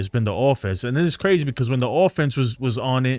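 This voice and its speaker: Over music in the background, a man with a New York accent talks at a fairly quick pace in an animated tone. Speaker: sports fan streamer, Army veteran. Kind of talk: live stream chat.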